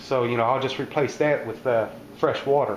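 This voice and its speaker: Fairly quick speech from a man, with noticeable background noise. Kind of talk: casual cooking tutorial. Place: kitchen. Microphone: phone near.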